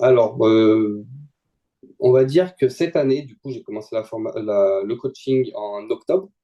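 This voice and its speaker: Using a dark, mellow tone at medium pitch, a man speaks at a fairly slow pace with lively intonation and big swings in loudness. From France, Lyon region. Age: 20s. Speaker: student trader. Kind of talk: testimony interview. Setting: video call.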